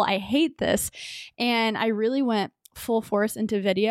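A woman with an unremarkable speaking voice talks at a fairly high pitch on a very clean recording with a silent background. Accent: American. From Texas, Dallas suburbs. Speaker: YouTuber and tech entrepreneur. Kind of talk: casual interview chat.

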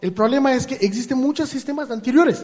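Noticeable background noise behind a man talking fairly quickly. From India. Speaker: artificial intelligence expert. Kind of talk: interview. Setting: live forum event with audience. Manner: halting, repeats words.

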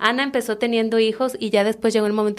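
Her intonation stays monotone and flat. The woman's voice has a fairly high pitch. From Mexico, Tabasco (Comalcalco). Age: 30s. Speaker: chef and restaurant owner. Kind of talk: interview conversation.

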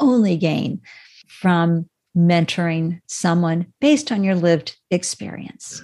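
A woman's fairly low, dark and mellow voice with an American accent. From New England, Boston area. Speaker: startup founder and live stream host. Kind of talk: interview. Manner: animated.

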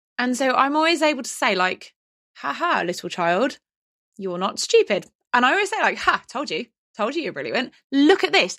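In an English accent, a woman speaks at a moderate pace with a high pitch and very wide pitch swings. The recording is very clean, with a silent background. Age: 40s. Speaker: dyslexia consultant. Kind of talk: casual chat. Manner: animated.

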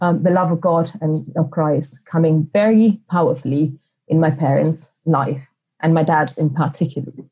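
There is some breathiness in this woman's voice. Her tone is dark and mellow. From Sicily, Italy. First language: Italian. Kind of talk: interview. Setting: remote call. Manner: hesitant, many fillers.

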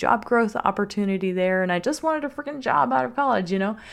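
With an American accent, a woman speaks in a warm, enthusiastic tone with ordinary pitch variation against a quiet background. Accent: Southern US (Louisiana), shifts with location. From US South, Louisiana. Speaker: sex coach and podcast host. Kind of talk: solo podcast monologue, personal story. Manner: warm, personable, enthusiastic.

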